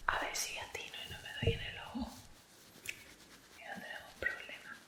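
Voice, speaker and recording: Over noticeable background noise, a woman whispers at a moderate pace, her loudness swinging widely. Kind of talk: ASMR product review. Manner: whispered.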